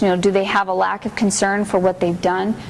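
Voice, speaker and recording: A woman is speaking in a room with audible echo. Noticeable background noise runs underneath. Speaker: juvenile probation supervisor. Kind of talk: training lecture. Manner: fast.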